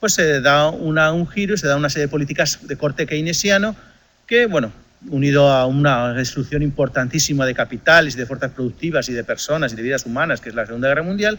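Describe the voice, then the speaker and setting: A man with a Spanish accent talks at a very fast pace in a bright, sharp tone, with lively intonation and a fairly high pitch. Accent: Spanish (Spain). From Spain. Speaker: economics lecturer. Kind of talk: lecture.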